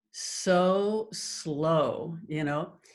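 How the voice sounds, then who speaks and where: Somewhat breathy, a woman speaks in a fairly low pitch with lively intonation. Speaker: hypnotherapist. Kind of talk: teaching talk to online group.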